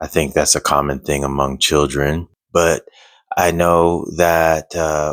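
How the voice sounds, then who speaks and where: This man has a very deep, low pitch and a monotone, flat intonation at a fairly slow pace. The voice is quiet, with a dry, close sound and no echo. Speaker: single father vlogger. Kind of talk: personal vlog. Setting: at home at night. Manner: quiet, low voice; halting, many fillers.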